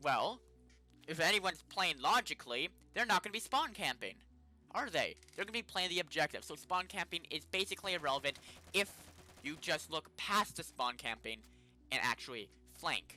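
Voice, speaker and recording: A fairly quick pace with music in the background. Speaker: gaming youtuber. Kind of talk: gameplay commentary. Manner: casual, halting with fillers. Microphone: poor mic.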